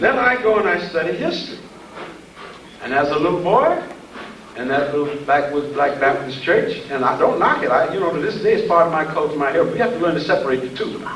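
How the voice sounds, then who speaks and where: A man speaks very fast in a high voice with lively intonation, over noticeable background noise and with audible room echo. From US South, southeast Georgia. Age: 70s. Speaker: lecturer. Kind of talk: lecture.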